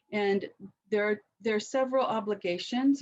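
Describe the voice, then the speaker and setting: A normal speaking voice carries ordinary pitch variation throughout. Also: woman. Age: 60s. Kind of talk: webinar talk.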